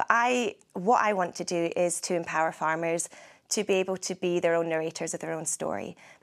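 A woman with a Scottish accent and a fairly low pitch, on a very clean recording with a silent background. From Scotland. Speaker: agricultural journalist. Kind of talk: interview.

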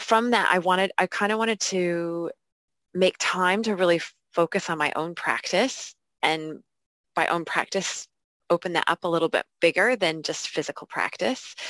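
Recorded very cleanly against a silent background with a dry, close sound and no echo, a woman with an American accent speaks at a moderate pace and fairly low pitch with ordinary pitch variation. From United States. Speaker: yoga teacher. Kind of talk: interview. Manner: thoughtful, hesitant.

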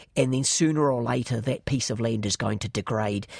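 On a very clean recording with a silent background, a man with a New Zealand accent talks at a fairly quick pace with fairly even intonation. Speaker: economist, chair of a government commission. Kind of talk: interview. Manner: hesitant with fillers and repeats.

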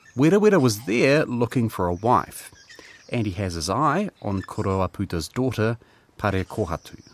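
A man with a New Zealand accent at a moderate pace, lively intonation, a dry, close sound with no echo, and noticeable background noise. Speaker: podcast co-host and producer. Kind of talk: scripted narration.

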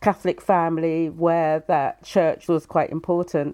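The speaker is a woman with a southern English accent. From Brighton, England. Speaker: author. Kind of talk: panel interview.

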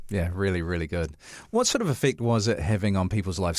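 A man with a New Zealand accent at a very fast pace. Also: very clean recording, silent background. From New Zealand, Tokoroa. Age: 40s. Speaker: podcast host, church minister and chaplain. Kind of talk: casual interview chat. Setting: studio.

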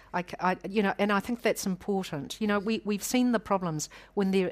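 Recorded very cleanly against a silent background, a woman with a New Zealand accent speaks at a moderate pace. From New Zealand, South Island. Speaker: public law expert. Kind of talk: panel discussion. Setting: stage with audience.

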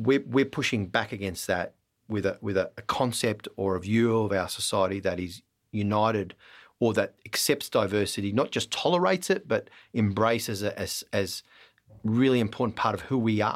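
A man with an Australian accent speaks at a fairly low pitch and moderate pace, with ordinary pitch variation, on a very clean recording with a silent background. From Australia (Melbourne). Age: 40s. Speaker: politician. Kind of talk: interview.

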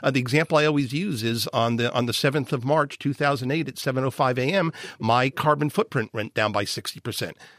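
With lively intonation and a fairly quick pace, a man speaks in a plain, everyday voice on a very clean recording with a silent background. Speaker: climate scientist. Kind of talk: radio science Q&A panel.

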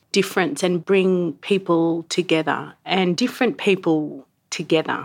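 With an Australian accent, a woman of medium pitch talks at a fairly slow pace in a very clean recording with a silent background. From Sydney, Australia. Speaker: cultural practitioner and researcher. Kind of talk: casual chat.

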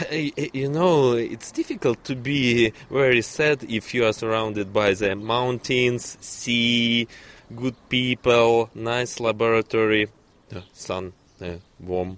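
A man with a Russian accent at a very slow pace, ordinary pitch variation, and a dry, close sound with no echo. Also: medium pitch for a man. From Russia, Kazan. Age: young. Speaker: neuroscientist. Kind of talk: interview. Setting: outdoors.

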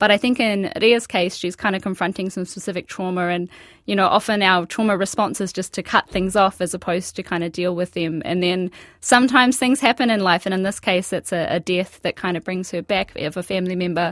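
A woman with an Australian accent talks at medium pitch with ordinary pitch variation. The recording is very clean, with a silent background. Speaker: architect and author. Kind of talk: radio interview. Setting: studio.

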